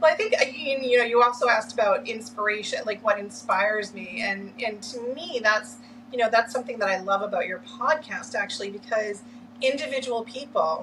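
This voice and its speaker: Talking at a fairly quick pace, a woman with an American accent uses a normal speaking voice at a fairly high pitch with ordinary pitch variation. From Massachusetts (Lynn). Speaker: orientation and mobility specialist. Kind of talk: interview.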